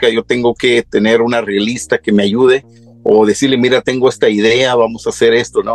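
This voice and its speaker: A man talks at a moderate pace and medium pitch. The sound is dry and close, with no echo. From Mexico, Michoacán (Tacámbaro), moved to US young. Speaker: singer. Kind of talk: casual interview. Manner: hesitant, many fillers.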